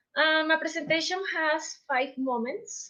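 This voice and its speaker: A woman with a Colombian accent speaks at a fairly slow pace with ordinary pitch variation. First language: Spanish. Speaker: teacher and researcher. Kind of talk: conference presentation. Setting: video call. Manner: halting.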